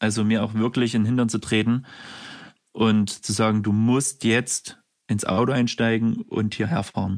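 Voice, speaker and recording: A man talks at a moderate pace with a medium pitch. His intonation is flat and monotone, and his loudness stays very even. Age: 30s. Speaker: care worker. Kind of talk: testimony.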